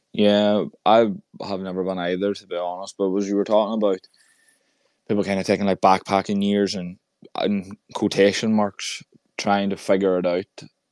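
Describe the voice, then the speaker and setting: Over a silent background in a very clean recording, a man with an Irish accent speaks at a moderate pace in a fairly low pitch, with monotone, flat intonation, long, frequent pauses and a dry, close sound with no echo. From Ireland. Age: 20s. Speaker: podcast host. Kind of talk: casual chat.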